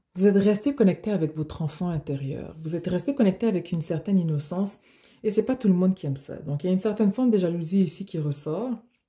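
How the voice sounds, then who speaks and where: A woman speaks very fast at a medium pitch, her intonation lively. Her tone is dark and mellow, somewhat breathy. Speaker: tarot reader. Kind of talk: tarot reading. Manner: animated.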